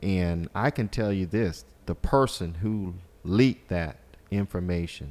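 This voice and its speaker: Speaking fairly slowly with lively intonation, a man with a very deep, low pitch talks in a South Carolina accent. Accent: US Southern, South Carolina. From South Carolina Lowcountry, Walterboro. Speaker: congressional candidate, attorney. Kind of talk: interview.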